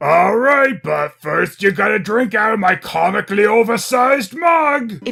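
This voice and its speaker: In a cartoonish character voice with a fairly high pitch, the speaker goes at a moderate pace with hardly any pauses. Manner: jovial.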